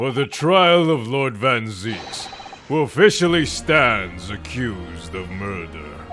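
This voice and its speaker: A man's put-on character voice at medium pitch, with very wide pitch swings, a fairly slow pace and clear background noise. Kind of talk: game playthrough voicing characters. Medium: role play.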